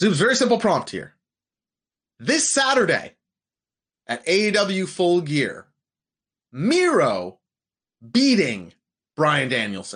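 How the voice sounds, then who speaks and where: Very slowly and with long, frequent pauses, a man speaks at a high pitch with very wide pitch swings. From Portuguese family. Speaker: wrestling podcast co-host. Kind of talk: casual chat. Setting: live stream.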